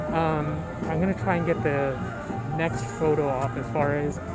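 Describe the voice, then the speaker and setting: A man at a moderate pace, loud music behind him, the sound dry with no echo. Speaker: park vlogger. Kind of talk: casual vlog commentary. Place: street. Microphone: phone near.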